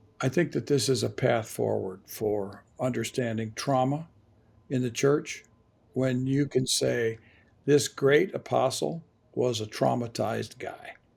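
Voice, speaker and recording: A man with an American accent, somewhat breathy, at a medium pitch and fairly slow pace with ordinary pitch variation, on a very clean recording with a silent background. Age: 70s. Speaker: theologian and author. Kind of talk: podcast interview. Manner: halting.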